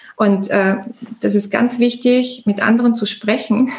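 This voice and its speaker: This voice is somewhat breathy, moving at a fairly slow pace with ordinary pitch variation. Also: woman. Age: 40s. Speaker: entrepreneur. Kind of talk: interview.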